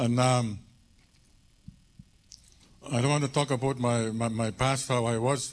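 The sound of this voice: Pitch shifts in an ordinary way. Delivery is fairly slow. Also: man.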